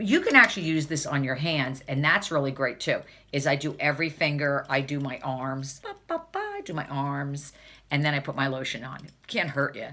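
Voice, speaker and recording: With a New Jersey accent, a woman talks in an animated tone at a very deep, low pitch, her loudness swinging widely. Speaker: beauty vlogger. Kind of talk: casual vlog tutorial.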